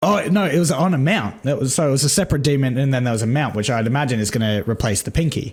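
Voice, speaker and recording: A man talks at a very fast pace with hardly any pauses, using lively intonation and a somewhat breathy, medium-pitched voice, in a very clean recording with a silent background. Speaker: gaming content creator. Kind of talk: casual trailer reaction commentary. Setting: recorded during a livestream. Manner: excited.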